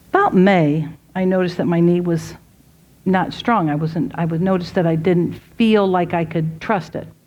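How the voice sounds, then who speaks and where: A woman with a plain, everyday voice speaks at a moderate pace, at a fairly low pitch and with fairly even intonation. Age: 60s. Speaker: speaker at a women's event. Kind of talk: inspirational talk. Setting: ladies tea with live audience. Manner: conversational.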